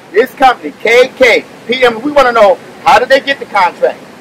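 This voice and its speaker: Over light background noise, a man talks at a moderate pace in an extremely high pitch with ordinary pitch variation. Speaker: rally leader, retired politician. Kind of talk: rally speech. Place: street. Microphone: podium.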